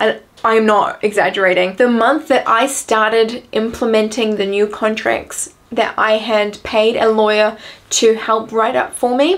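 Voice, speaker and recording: With a New Zealand accent, a woman speaks fairly slowly at a fairly high pitch, her intonation fairly even. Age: young. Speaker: entrepreneur. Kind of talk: casual talk to camera.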